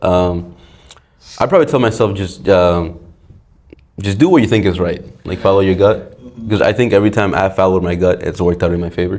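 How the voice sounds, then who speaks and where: With a Spanish accent, a man talks at a very fast pace yet takes long, frequent pauses, using ordinary pitch variation at a very deep, low pitch. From Dominican Republic. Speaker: electrical engineering student. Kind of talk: podcast interview answer. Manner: casual.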